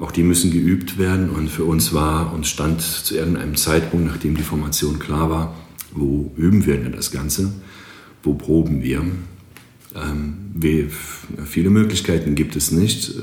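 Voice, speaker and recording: A man with a very deep, low pitch speaks at a fairly slow pace with fairly even intonation and long, frequent pauses, amid noticeable background noise and audible room echo. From Greece. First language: Greek (speaking German). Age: 40s. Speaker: marketing agency owner and drummer. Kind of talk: podcast interview.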